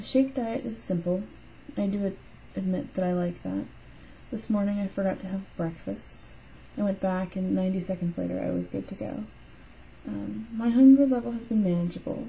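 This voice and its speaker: Music plays in the background as a woman mumbles at a moderate pace. Her speech has long, frequent pauses. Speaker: weight loss surgery patient vlogger. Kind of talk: reading own written note aloud. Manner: mumbled.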